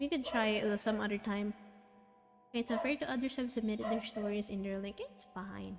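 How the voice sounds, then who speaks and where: The speaker has a Filipino accent. Music plays in the background. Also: woman. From Philippines. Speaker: vtuber streamer and artist. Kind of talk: casual live stream chat. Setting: live stream. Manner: halting, many fillers and restarts.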